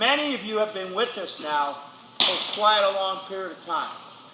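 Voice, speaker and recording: A man speaks in a raised, projected voice at a high pitch, with ordinary pitch variation and a moderate pace. Audible room echo and noticeable background noise surround him. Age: 60s. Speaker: football coach. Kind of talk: motivational speech to players. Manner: animated.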